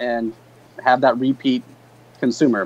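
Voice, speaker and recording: With an ordinary speaking voice, a man at medium pitch talks at a moderate pace with fairly even intonation. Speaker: beverage company co-founder. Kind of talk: interview. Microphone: video call.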